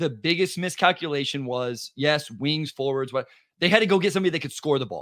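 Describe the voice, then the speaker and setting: Against a silent background in a very clean recording, a man with an unremarkable speaking voice talks at a fairly quick pace with a fairly high pitch and lively intonation. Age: 30s. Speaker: basketball podcaster. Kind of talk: casual chat.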